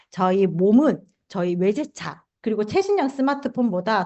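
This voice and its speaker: Lively intonation marks this voice in a Gyeongsang accent, delivered at a moderate pace. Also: woman. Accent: Gyeongsang (southeastern Korea) intonation. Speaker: health supplement seminar presenter. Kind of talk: sales pitch.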